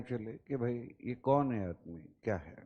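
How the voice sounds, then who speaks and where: The voice belongs to a man. It has a medium pitch and a dark, mellow tone. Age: 50s. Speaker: teacher. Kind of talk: lecture. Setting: classroom. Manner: mix of Hindi and English.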